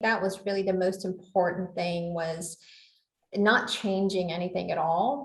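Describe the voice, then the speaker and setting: Somewhat breathy and at medium pitch, a woman with a Southern US accent speaks at a fairly slow pace with fairly even intonation. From US South. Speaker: legal operations executive. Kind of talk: interview.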